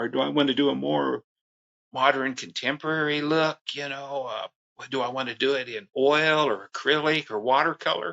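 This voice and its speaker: The man's pitch is fairly high, with ordinary variation. He keeps a moderate pace. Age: 60s. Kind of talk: interview. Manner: halting, many fillers.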